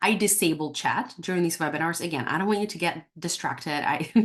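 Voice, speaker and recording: This woman talks very fast in a fairly low voice with ordinary pitch variation. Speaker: dental practice coach. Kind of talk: webinar class. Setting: online webinar. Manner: dramatic pauses.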